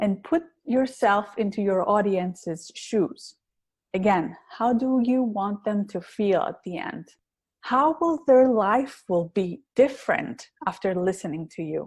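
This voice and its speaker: A woman at medium pitch, with lively intonation and a fairly slow pace. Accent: strong Greek. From Greece. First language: Greek. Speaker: public speaking coach. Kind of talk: interview.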